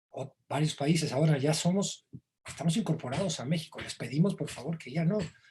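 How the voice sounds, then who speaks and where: A man speaks at a fairly high pitch with a dark, mellow tone. His pitch varies in an ordinary way. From Argentina, Buenos Aires; raised in Mexico from age 12. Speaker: songwriter and novelist. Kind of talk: interview.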